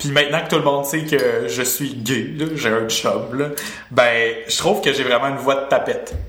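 The man's pitch sits fairly high, with ordinary pitch variation, at a moderate pace. Noticeable background noise runs underneath. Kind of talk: casual chat. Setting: video call.

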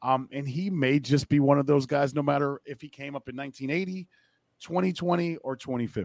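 Here is an unremarkable speaking voice: a man with an American accent, fairly high in pitch, with ordinary pitch variation. He speaks at a moderate pace, and the sound is dry and close with no echo. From US Midwest (Akron, Ohio). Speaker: baseball broadcaster. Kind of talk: casual chat.

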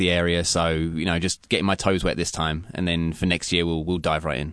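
A man with an English accent and a very deep, low pitch against a quiet background. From England, London. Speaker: chef. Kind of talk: interview. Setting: radio studio.

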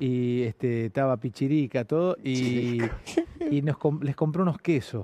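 With a dark, mellow tone at a medium pitch, a man speaks at a fairly slow pace with very even loudness and ordinary pitch variation, the sound dry and close with no echo. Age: 40s. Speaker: comedian and interviewer. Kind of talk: casual interview.

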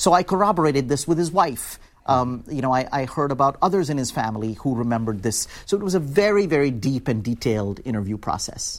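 At a very fast pace, a man talks with lively intonation and a fairly high pitch. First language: Hindi. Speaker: author and labor organizer. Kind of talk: interview. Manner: hesitant, many fillers.

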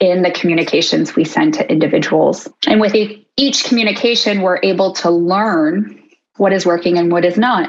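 A plain, everyday voice from a woman, medium in pitch, with lively intonation, very even loudness and a moderate pace. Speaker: behavioral scientist. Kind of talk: interview conversation. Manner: articulate, professional.

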